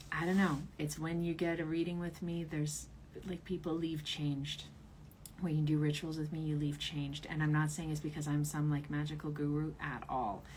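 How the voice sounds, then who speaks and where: A woman talks at a fairly quick pace with a very deep, low pitch and monotone, flat intonation. Her voice is somewhat breathy, and room echo is audible. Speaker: tarot reader and author. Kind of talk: livestream ritual.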